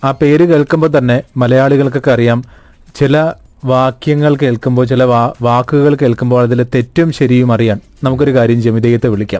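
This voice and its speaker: The man's voice has a dark, mellow tone and fairly even intonation. His loudness stays very even. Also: medium pitch for a man. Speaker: book reviewer. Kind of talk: book review talk. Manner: conversational.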